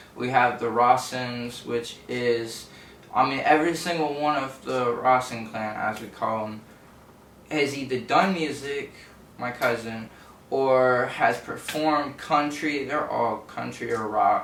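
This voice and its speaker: A man with an American accent speaks fairly slowly with fairly even intonation, over noticeable background noise and audible room echo. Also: medium pitch for a man. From southeast Texas (Orange / Port Arthur). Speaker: rapper. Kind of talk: interview.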